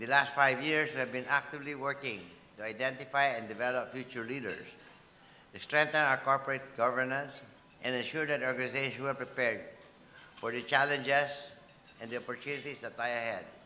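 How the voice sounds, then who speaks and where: Amid noticeable background noise, a man speaks at a very fast pace with long, frequent pauses. His medium-pitched voice has monotone, flat intonation. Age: 70s. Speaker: business executive, keynote speaker. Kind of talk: keynote speech. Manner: formal.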